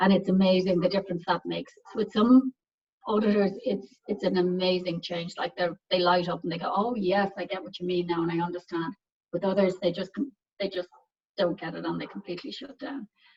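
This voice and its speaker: A woman with a medium pitch and a somewhat breathy voice speaks at a fairly quick pace, with ordinary pitch variation and big swings in loudness. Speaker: pharmaceutical quality assurance director. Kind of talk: technical presentation. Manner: fast; halting, many fillers and repeats.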